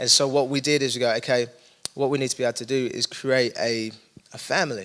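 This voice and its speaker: Speaking at a very fast pace with fairly even intonation, a man talks in an East London accent. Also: medium pitch for a man. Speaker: young adults pastor. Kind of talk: casual interview conversation.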